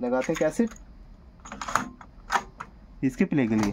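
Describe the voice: With lively intonation and a slightly mellow tone, a man talks at a fairly slow pace and a medium pitch.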